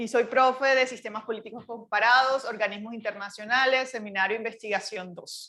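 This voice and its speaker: A woman with a Barranquilla accent, fairly high pitch and a bright, sharp tone, at a fairly quick pace with hardly any pauses, fairly even intonation and big swings in loudness. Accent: Barranquilla (Colombian Caribbean). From Colombia, Barranquilla (Caribbean coast). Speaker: university professor. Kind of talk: lecture.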